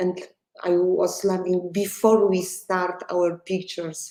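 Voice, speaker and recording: A woman speaks at a very slow pace in a Polish accent, her medium-pitched voice dark and mellow in tone, with monotone, flat intonation. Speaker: film director. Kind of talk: interview. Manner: halting.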